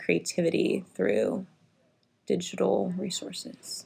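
A woman with an American accent, speaking at a very slow pace. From Texas, Richardson. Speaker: first grade teacher. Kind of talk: interview.

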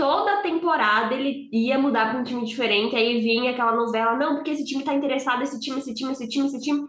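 A woman speaks in a high pitch with a Brazilian accent. Her pace is very fast. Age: 20s. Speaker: hockey podcaster. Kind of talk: casual chat.

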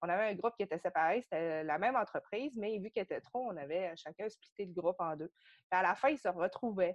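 Dry and close with no echo against a quiet background, a woman talks in a plain, everyday voice at a fairly quick pace with hardly any pauses, medium pitch and ordinary pitch variation. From Quebec, Saguenay. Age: 30s. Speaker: podcast guest, yoga studio member. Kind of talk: casual interview, personal story.

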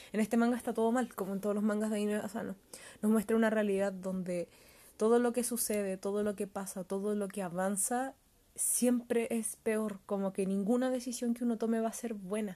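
In a Chilean accent, a woman with a fairly high pitch and a dark, mellow tone talks at a fairly quick pace in a monotone, flat intonation against a quiet background. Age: 20s. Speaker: podcast host reviewing manga. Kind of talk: casual solo review monologue.

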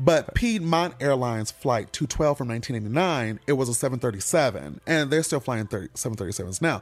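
A man with an American accent, lively intonation and hardly any pauses, with music in the background. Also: medium pitch for a man, fairly quick pace. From Michigan, Detroit. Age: 40s. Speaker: comedian. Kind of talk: casual chat.

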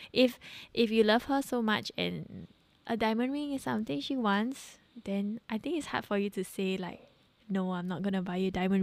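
A woman has a normal speaking voice at a medium pitch with ordinary pitch variation, talking at a fairly quick pace on a very clean recording with a silent background. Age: 20s. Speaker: host's wife. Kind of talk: casual chat. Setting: home.

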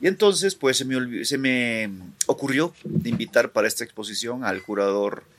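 Speaking fairly slowly, a man lets his pitch rise and fall across a very wide range. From Guatemala. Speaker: visual artist. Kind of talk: casual interview chat.

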